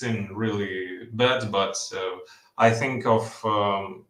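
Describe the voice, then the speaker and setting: Audible room echo surrounds a man of medium pitch as he talks at a very slow pace. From Ukraine. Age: 20s. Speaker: caller. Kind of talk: casual chat. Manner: halting, many fillers and repeats.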